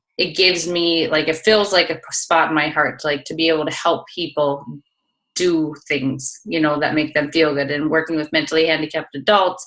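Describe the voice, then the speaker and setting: In a Minnesotan accent, a woman speaks with a very deep, low pitch. Her pace is moderate and her intonation fairly even. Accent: Minnesota. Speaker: fitness coach. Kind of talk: interview. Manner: casual, many fillers.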